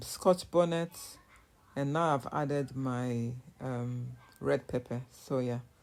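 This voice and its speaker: With a Nigerian accent, a woman speaks with ordinary pitch variation. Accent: Nigerian (Yoruba) English. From Nigeria, southwest (Yoruba). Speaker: cooking vlogger. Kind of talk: casual voiceover narration of cooking vlog. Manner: casual, halting with fillers.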